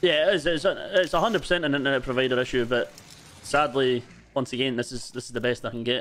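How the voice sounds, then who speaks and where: A man with a Scottish accent talks at a fairly quick pace. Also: medium pitch for a man, ordinary pitch variation. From Scotland. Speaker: gaming livestreamer. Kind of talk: casual chat while gaming. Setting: online voice chat on a livestream.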